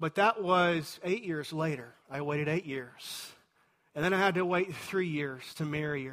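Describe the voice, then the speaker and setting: This man has a fairly high-pitched voice with ordinary pitch variation. He speaks at a moderate pace. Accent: Texan. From Texas. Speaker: pastor. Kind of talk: sermon.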